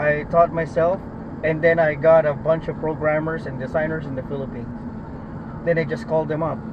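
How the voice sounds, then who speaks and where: Noticeable background noise sits behind a man's speech. His pitch is fairly high and his pace fairly quick. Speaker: rideshare driver. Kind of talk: casual chat.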